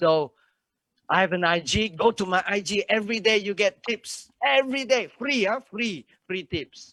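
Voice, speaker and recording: A man speaks at a moderate pace in a high pitch, with a bright, sharp tone and lively, animated intonation. The sound is dry and close, with no echo. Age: 60s. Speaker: motivational speaker. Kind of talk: motivational talk.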